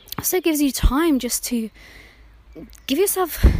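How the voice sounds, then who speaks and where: A woman with a British accent talks with very wide pitch swings. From UK. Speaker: therapist and podcast host. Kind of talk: podcast monologue.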